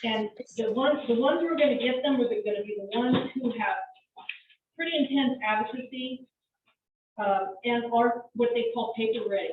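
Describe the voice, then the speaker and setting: A loud woman with a high voice speaks at a moderate pace, her pitch moving in an ordinary way. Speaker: community advisory group member. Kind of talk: public meeting discussion.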